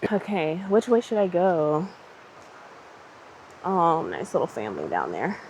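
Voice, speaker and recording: Her pauses come often and run long. The woman talks fairly slowly. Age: late 20s. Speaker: yoga teacher and corporate worker. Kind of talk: casual vlog talk to camera while hiking. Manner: casual, chatty.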